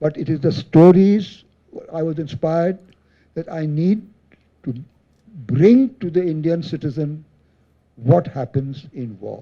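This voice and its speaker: A man with a dark, mellow tone and fairly high pitch speaks at a fairly slow pace, with long, frequent pauses, big swings in loudness and ordinary pitch variation. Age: 80s+. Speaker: retired army general and author. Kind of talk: panel discussion at book event. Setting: event hall with audience.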